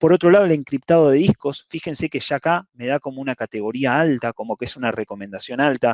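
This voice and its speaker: Over a quiet background, a man talks at a very fast pace with hardly any pauses, at a fairly high pitch with ordinary pitch variation. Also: dry, close sound with no echo. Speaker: cloud security specialist. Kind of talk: lecture.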